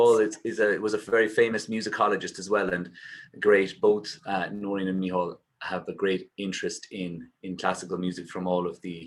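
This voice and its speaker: In an Irish accent, the speaker talks at a fairly quick pace with monotone, flat intonation and big swings in loudness. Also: man, fairly low pitch for a man. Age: 30s. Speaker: singer and poet. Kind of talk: casual chat. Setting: video call.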